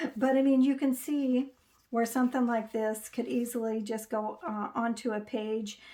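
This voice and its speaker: A woman speaks at a moderate pace in a fairly high pitch. Her tone is dark and mellow, her intonation monotone and flat. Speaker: crafting YouTuber. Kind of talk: tutorial. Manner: halting, many fillers; casual, chatty.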